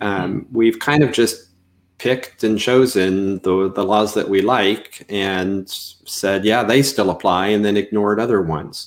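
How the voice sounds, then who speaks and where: On a very clean recording with a silent background, a man speaks at a fairly slow pace. His pitch is fairly low, and his intonation is fairly even. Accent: Canadian. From Canada. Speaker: seminary professor. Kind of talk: interview.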